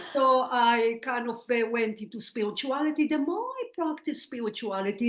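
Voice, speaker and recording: This woman has a high-pitched voice and a slight Israeli accent. She talks at a moderate pace with ordinary pitch variation against a quiet background. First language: Hebrew. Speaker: spiritual medium. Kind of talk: interview.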